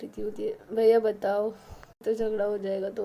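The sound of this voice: Simply an unforced reading voice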